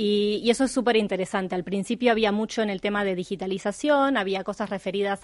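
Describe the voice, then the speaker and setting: A woman with a Uruguayan accent speaks at a medium pitch with fairly even intonation against a quiet background. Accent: Rioplatense (Uruguayan) Spanish. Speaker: insurtech specialist. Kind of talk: panel discussion.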